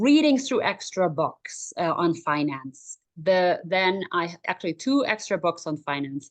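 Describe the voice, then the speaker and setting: A woman's fairly slow, fairly low-pitched speech in a German accent, with very wide pitch swings, hardly any pauses and a quiet background. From Germany. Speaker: life coach for moms. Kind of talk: interview.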